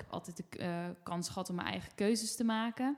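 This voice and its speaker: In an unremarkable speaking voice, a woman talks at a fairly slow pace, medium in pitch, with fairly even intonation. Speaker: podcast host. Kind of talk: casual chat. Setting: at home.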